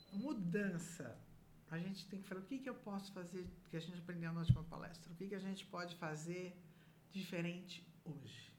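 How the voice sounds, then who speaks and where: With noticeable background noise around her, a woman speaks at a moderate pace with a fairly low pitch and ordinary pitch variation. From Brazil, São Paulo. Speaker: businesswoman, association council member. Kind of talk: casual interview. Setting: studio.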